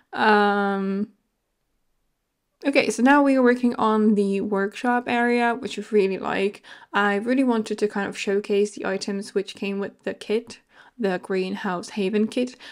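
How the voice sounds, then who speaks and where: A woman's voice with fairly even intonation, in a very clean recording with a silent background. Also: fairly high pitch for a woman. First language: not English. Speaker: video game content creator. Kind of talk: voiceover commentary. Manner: hesitant, many fillers.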